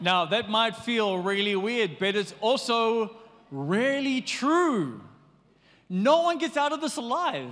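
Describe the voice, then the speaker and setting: A man speaks very slowly at an extremely high pitch with very wide pitch swings. Audible room echo fills the recording. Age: 40s. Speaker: pastor. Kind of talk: sermon. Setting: church.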